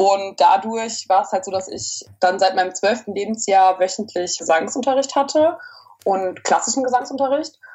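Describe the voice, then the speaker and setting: Noticeable background noise surrounds a woman's voice. She talks at a moderate pace with lively intonation. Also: medium pitch for a woman. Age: 20s. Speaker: opera singing student. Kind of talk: interview.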